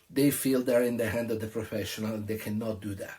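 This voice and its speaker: A somewhat breathy man with an Italian accent. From Italy (Tuscany). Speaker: restaurant owner. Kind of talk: opinion monologue. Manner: animated.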